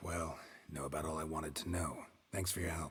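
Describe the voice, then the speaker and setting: In a put-on character voice, a man speaks raspy and very deep, with a deadpan tone and flat, monotone intonation, at a fairly quick pace. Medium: video game. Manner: dry, terse, deadpan.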